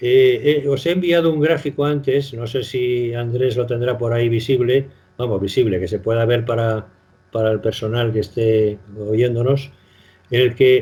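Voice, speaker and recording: This man's voice is somewhat breathy and medium in pitch. He talks at a moderate pace with ordinary pitch variation. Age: 70s. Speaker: retired doctor. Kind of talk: radio interview. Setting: phone call. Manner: halting.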